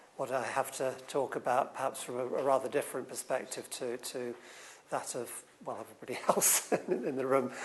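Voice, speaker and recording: A man speaks at a fairly quick pace in a medium pitch with monotone, flat intonation, over noticeable background noise. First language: not English. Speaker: writer on science and society. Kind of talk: conference talk. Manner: halting, many repetitions and fillers.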